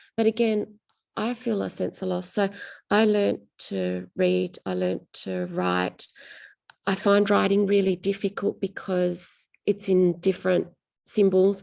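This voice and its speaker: A woman speaks with an Australian accent at a fairly slow pace. The background is quiet. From rural Western Australia. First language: Greek. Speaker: novelist. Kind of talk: interview.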